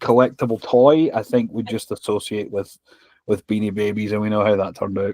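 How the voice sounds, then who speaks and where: A Scottish accent in a dry, close sound with no echo. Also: man. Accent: noticeable Scottish. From Scotland. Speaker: podcast host. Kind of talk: casual chat.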